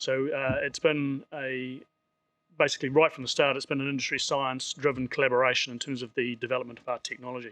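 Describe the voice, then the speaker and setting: In a New Zealand accent, a man with a bright, sharp tone talks at a very fast pace in a monotone, flat intonation, with big swings in loudness and a dry, close sound with no echo. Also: medium pitch for a man. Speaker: seafood industry presenter. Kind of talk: conference presentation. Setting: stage with audience.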